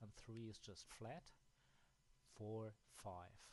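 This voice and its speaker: A somewhat breathy man's voice with a German accent, fairly low in pitch and at a very slow pace. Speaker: app developer. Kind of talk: software tutorial. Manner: halting, with many fillers.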